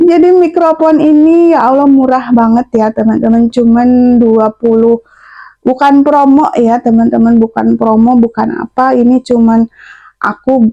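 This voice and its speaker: A woman's high voice with a dark, mellow tone, very even loudness, ordinary pitch variation, a fairly slow pace, and a dry, close sound with no echo. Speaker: housewife vlogger. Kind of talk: casual vlog. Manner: chatty. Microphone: new cheap clip-on microphone.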